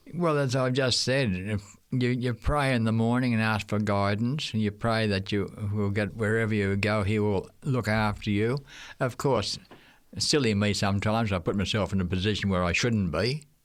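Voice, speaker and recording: In an Australian accent, a man speaks at a fairly low pitch and very even loudness on a very clean recording with a silent background. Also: ordinary pitch variation, moderate pace. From Australia, Queensland. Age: 80s+. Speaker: retired missionary teacher. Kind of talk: interview.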